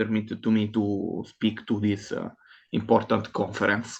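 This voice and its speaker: A medium-pitched man against a quiet background. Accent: non-native. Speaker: academic conference presenter. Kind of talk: conference presentation. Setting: online video call. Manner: halting, many fillers.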